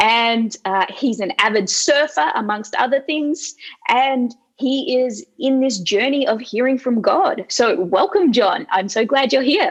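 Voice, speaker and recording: This woman speaks at a fairly slow pace with an Australian accent, her high voice carrying lively intonation. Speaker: interviewer, ministry leader. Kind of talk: interview.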